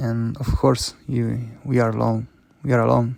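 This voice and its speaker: At a fairly slow pace, a man talks in a non-native accent. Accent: non-native English, noticeable. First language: not English. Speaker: podcaster. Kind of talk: personal monologue. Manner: halting, many repetitions and fillers.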